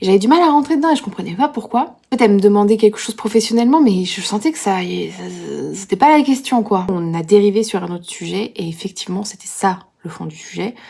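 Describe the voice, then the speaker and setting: Over noticeable background noise, a woman of medium pitch speaks with big swings in loudness. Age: 30s. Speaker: vlogger. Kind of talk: casual vlog talk. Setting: gym. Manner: casual, hesitant with many fillers.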